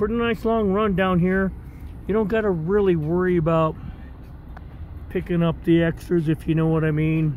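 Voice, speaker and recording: A man speaks at a moderate pace with fairly even intonation. The sound is dry with no echo, and there is light background noise. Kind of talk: casual vlog chat. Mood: relaxed, fond. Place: car. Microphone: phone near.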